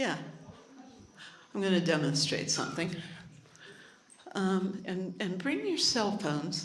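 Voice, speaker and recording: A woman at medium pitch with long, frequent pauses, noticeable background noise and audible room echo. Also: ordinary pitch variation. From Hawaii. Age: 70s. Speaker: health technology speaker. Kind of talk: live presentation with demonstration. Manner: animated.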